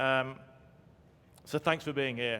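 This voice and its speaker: A man speaks with a bright, sharp tone at a fairly high pitch. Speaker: academic keynote speaker. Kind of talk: keynote lecture read from script. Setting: conference stage with audience. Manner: formal.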